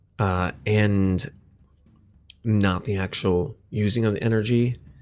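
A man's fairly low voice at a very slow pace, fairly even in intonation, with music in the background. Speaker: podcast host. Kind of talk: casual solo podcast monologue. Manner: casual, profane, rambling.

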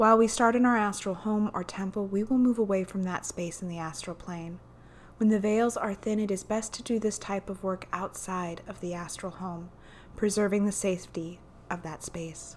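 A woman with an unremarkable speaking voice talks at a moderate pace, her intonation fairly even. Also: medium pitch for a woman. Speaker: podcast host and guided meditation leader. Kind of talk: guided meditation. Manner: gentle, hypnotic, vividly descriptive.

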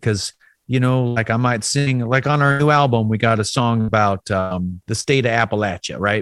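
Recorded very cleanly against a silent background with a dry, close sound and no echo, a man with an American accent speaks at a medium pitch and moderate pace with ordinary pitch variation. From US South. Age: 40s. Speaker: folk musician. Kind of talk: interview.

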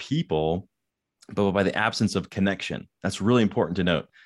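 This man has a plain, everyday voice, fairly low in pitch with ordinary pitch variation, moving at a fairly quick pace. The recording is very clean, with a silent background. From Denver, Colorado (Littleton). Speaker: keynote speaker and author on workplace loneliness. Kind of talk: interview.

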